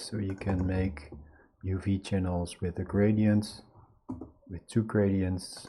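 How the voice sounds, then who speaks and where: A man speaks with a very deep, low pitch. His voice is somewhat breathy, with a dark, mellow tone. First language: not English. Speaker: video artist teaching a software tool. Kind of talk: screen-share tutorial. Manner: halting, many fillers.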